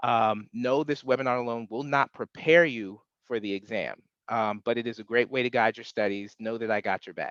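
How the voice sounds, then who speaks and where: The loudness swings widely throughout. The sound is dry and close with no echo, over a quiet background. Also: man, medium pitch for a man, fairly even intonation. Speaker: webinar presenter, exam prep instructor. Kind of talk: webinar presentation. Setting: video call webinar. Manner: fast; hesitant, many filler words.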